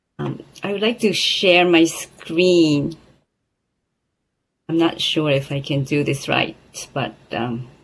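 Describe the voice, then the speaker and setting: A woman with a Japanese accent speaks at a very slow pace, leaving long, frequent pauses. Her pitch is very deep and low, with lively intonation. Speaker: accountant and audit partner. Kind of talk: presentation. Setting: video call with screen share.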